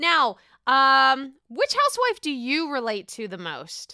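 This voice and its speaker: Bright, sharp and animated, a woman's high voice is raised and projected, with very wide pitch swings and an American accent. The recording is very clean with a silent background, dry and close with no echo. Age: 30s. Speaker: podcast host. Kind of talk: casual chat.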